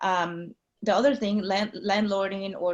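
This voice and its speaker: A woman is speaking. She has a Mexican accent. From Mexico. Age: 40s. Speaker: nurse anesthetist and real estate investor. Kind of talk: interview. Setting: video call. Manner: halting.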